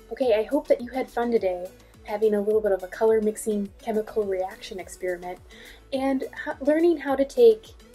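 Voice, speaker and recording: A woman is speaking with ordinary pitch variation. Faint music plays behind her. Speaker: art teacher. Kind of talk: tutorial. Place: home room. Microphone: phone near.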